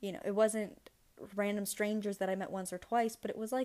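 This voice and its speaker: Very clean recording, silent background, and a woman's fairly quick pace. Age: 20s. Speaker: podcast host and marketing agency owner. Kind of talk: solo podcast monologue. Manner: animated.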